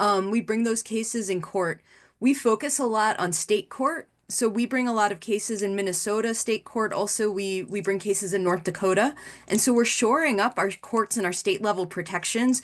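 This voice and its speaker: A woman with an American accent has a plain, everyday voice, fairly high in pitch. She speaks at a moderate pace with ordinary pitch variation. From New York City (the Bronx). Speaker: lawyer. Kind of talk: panel discussion. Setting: webinar video call.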